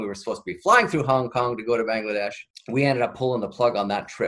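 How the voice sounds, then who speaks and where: A man speaks at a medium pitch in a western Canadian accent, with ordinary pitch variation. The recording is very clean and the background silent. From British Columbia, Canada (Chilliwack). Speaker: nonprofit leader. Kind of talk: interview.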